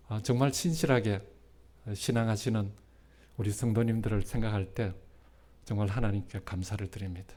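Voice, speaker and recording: Breathing somewhat audibly, a man with a fairly low, dark, mellow voice speaks with long, frequent pauses. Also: ordinary pitch variation, moderate pace. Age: 60s. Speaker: retired pastor. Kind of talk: sermon. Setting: church. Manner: halting, many fillers.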